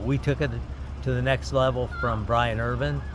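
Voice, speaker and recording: A man with a fairly low pitch speaks with very wide pitch swings. Audible room echo and noticeable background noise surround him. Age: 70s. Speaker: race car driver. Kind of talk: casual interview.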